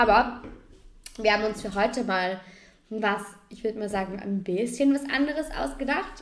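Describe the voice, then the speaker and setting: Long, frequent pauses break up speech at a moderate pace with ordinary pitch variation. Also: woman, fairly high pitch for a woman. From Austria, Vorarlberg. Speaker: podcast co-host. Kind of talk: casual chat.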